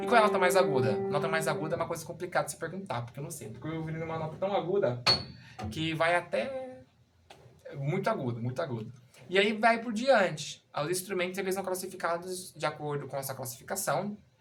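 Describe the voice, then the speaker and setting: The speaker talks at a fairly quick pace with lively intonation against noticeable background noise. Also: man, high pitch for a man. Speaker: music teacher. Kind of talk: tutorial. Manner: halting, with many fillers.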